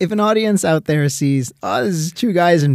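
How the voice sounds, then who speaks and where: With lively intonation and an ordinary speaking voice, a man talks at a fairly quick pace. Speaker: podcast co-host. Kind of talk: casual chat.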